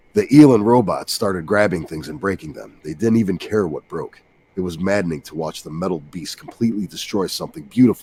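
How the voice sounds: With lively intonation, the speaker uses a natural reading voice.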